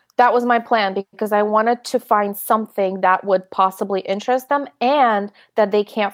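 A woman talks at a fairly quick pace and medium pitch in an ordinary speaking voice. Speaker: high school English teacher. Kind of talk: interview.

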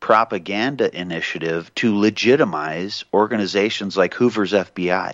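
A man with a plain, everyday voice speaks at a fairly slow pace and a fairly low pitch. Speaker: radio host. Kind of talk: talk radio show.

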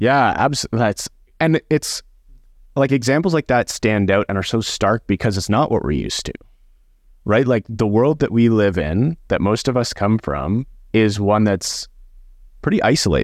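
On a very clean recording with a silent background and a dry, close sound with no echo, a man with a medium pitch speaks at a moderate pace with lively intonation and long, frequent pauses. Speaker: podcast host. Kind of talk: casual group discussion.

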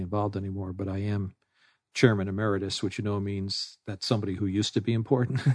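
A man's fairly low, monotone, flat voice with an American accent, dry and close with no echo, over a quiet background. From New York City. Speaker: business executive and adjunct professor. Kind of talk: interview.

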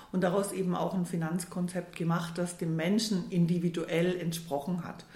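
In a fairly low voice, a woman speaks at a moderate pace with monotone, flat intonation. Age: 60s. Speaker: financial adviser turned money coach. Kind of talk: casual interview. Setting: in person at the host's office.

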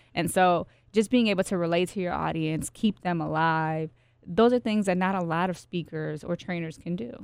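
A woman speaks with a normal speaking voice at fairly low pitch and a moderate pace. Her pitch varies in an ordinary way on a very clean recording with a silent background. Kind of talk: casual interview chat.

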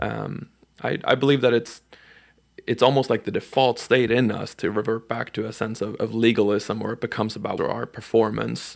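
This man talks at a moderate pace and medium pitch, his intonation fairly even and his voice marked by vocal fry. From Sweden, Stockholm. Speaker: podcast producer and interviewer. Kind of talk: scripted intro and interview. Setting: conference recording.

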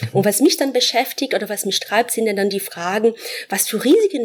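Lively in intonation, a woman with a fairly high pitch speaks at a moderate pace. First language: Portuguese (speaking German). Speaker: professor. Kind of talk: interview. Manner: hesitant, many fillers.

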